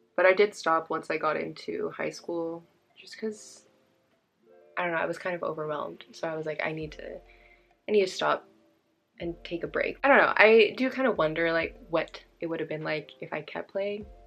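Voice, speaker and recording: With music in the background, a woman speaks in a Californian accent. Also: moderate pace, big swings in loudness. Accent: Californian American English. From California, Bay Area. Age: 20s. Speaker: beauty vlogger. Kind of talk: casual chat.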